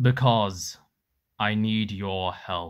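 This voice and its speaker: A man in a put-on character voice at a fairly low pitch. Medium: audio drama.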